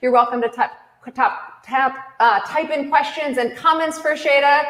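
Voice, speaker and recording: A woman speaks in an energetic tone at a fairly slow pace. Her voice is high, with ordinary pitch variation. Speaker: cooking class host. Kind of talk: livestream hosting. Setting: online livestream from a kitchen.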